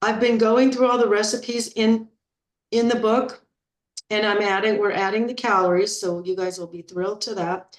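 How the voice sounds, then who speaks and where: A woman with an unremarkable speaking voice, fairly high pitch, fairly even intonation and moderate pace. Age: 60s. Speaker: health and weight-loss coach. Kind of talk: group coaching talk. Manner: casual, with frequent fillers and repetitions.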